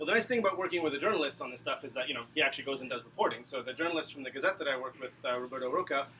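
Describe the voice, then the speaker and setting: A man talks at a fairly high pitch. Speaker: data analyst. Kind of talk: presentation. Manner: fast.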